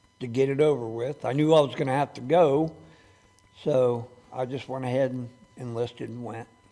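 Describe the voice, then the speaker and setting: With an American accent, a man speaks at a medium pitch with fairly even intonation and long, frequent pauses. Noticeable background noise is present. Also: moderate pace. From US Midwest, Cincinnati, Ohio. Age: 70s. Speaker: war veteran. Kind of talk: interview. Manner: halting.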